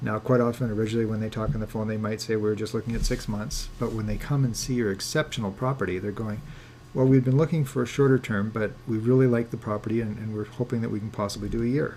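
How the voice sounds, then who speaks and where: This man speaks at a very fast pace and medium pitch with fairly even intonation. His tone is dark and mellow, and somewhat breathy. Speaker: landlord coach. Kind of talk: webinar lecture.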